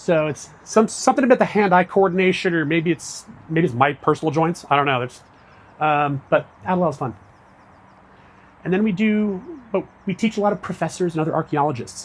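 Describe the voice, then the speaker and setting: High-pitched and fast, a man talks at a fairly quick pace. His intonation is lively. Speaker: public archaeology director giving a talk. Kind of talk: public lecture.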